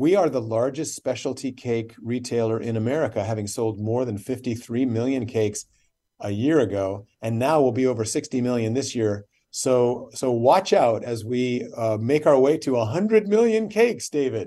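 Against a quiet background, a man talks in a dark, mellow tone at medium pitch, moving at a moderate pace with ordinary pitch variation. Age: 60s. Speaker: company CEO. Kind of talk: radio interview. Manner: animated.

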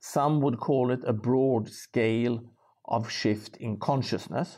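Against a quiet background, a man with a Swedish accent speaks at a fairly slow pace in a dark, mellow tone, medium in pitch with ordinary pitch variation. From rural Sweden. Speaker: social entrepreneur and author. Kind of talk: interview.

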